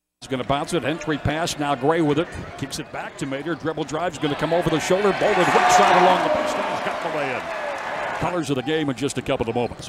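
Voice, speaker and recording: A man with a fairly high pitch and an animated, upbeat tone talks at a very fast pace with hardly any pauses, in a dry sound with no echo over loud background noise. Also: ordinary pitch variation. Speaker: basketball play-by-play announcer. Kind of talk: live sports commentary, play-by-play of a basketball game. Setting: arena, game broadcast (archive). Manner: fast, rapid-fire, excited play-by-play calls; animated, upbeat; rises on big plays. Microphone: headset.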